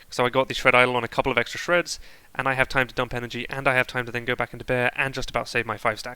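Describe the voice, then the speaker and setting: A man's bright, sharp voice at medium pitch, going at a very fast pace. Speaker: gaming guide creator. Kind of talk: live gameplay commentary narration. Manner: casual with fillers.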